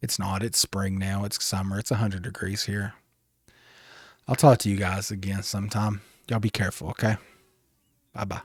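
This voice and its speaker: In a very clean recording with a silent background, a man with a fairly low pitch speaks in a relaxed, somewhat breathy tone, monotone and flat, at a fairly quick pace broken by long, frequent pauses. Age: 30s. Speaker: gaming streamer. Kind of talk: casual chat. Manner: friendly, relaxed.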